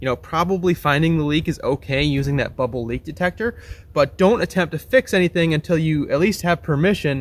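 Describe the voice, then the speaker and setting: Ordinary pitch variation runs through this fairly quick delivery. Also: man. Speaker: presenter. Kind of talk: tutorial.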